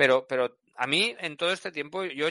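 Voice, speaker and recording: A man's fairly high, bright, sharp voice with lively intonation, dry and close with no echo, over a quiet background. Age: 40s. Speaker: track day organizer. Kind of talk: interview. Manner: halting.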